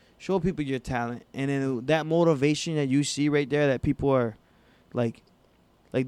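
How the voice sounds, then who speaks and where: With an ordinary speaking voice, a man talks at a fairly quick pace, his fairly high pitch carried in fairly even intonation. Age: 20s. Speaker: hip-hop recording artist. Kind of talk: casual interview.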